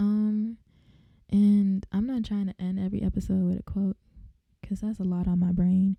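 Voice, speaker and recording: The voice has a dark, mellow tone and is somewhat breathy, moving at a moderate pace. Long, frequent pauses sit in a dry, close sound with no echo. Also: woman, medium pitch for a woman. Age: 20s. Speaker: podcast host. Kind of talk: casual monologue. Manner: animated.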